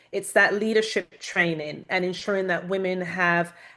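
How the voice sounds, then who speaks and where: With flat, monotone intonation, a woman talks at a medium pitch. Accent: British. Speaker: panelist, women's leadership mentor. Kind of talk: panel discussion.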